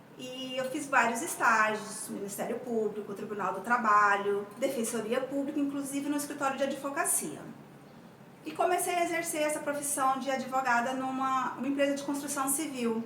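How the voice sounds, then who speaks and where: A woman with a high voice speaks at a moderate pace with ordinary pitch variation. The room echo is audible and background noise is noticeable. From Brazil, Mato Grosso do Sul. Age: 40s. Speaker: tax auditor and coach sharing her exam-study experience. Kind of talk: personal testimony. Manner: halting, many repetitions.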